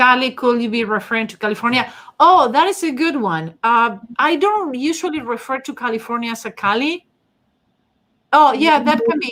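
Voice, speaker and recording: A high-pitched woman's bright, sharp voice with a strong non-native accent, lively intonation, big swings in loudness and a moderate pace. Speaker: face reading analyst, channel host. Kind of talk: livestream discussion with co-host and chat. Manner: halting, many fillers.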